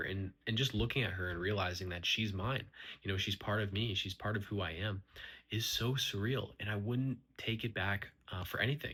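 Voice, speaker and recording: A man with a fairly low pitch and a bright, sharp tone, at a fairly quick pace with ordinary pitch variation, in a very clean recording with a silent background. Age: 20s. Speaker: vlogger, young father. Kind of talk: personal vlog monologue. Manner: halting, with fillers and false starts.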